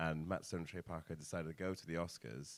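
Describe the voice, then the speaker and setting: A man with an English accent speaks at a very deep, low pitch and a fairly quick pace. His tone is bright and sharp. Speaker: podcast host. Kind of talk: casual chat. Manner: loud.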